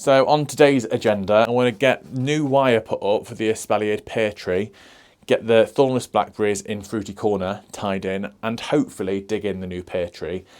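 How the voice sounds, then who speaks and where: On a very clean recording with a silent background, a man with a British accent talks at a fairly quick pace in a fairly low pitch with ordinary pitch variation. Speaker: allotment gardener, YouTuber. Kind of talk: casual vlog talk to camera. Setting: outdoors on allotment.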